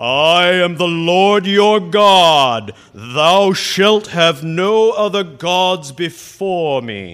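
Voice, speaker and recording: The voice is a put-on character voice at a very slow pace. There are hardly any pauses. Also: man, high pitch for a man. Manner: grumpy, commanding.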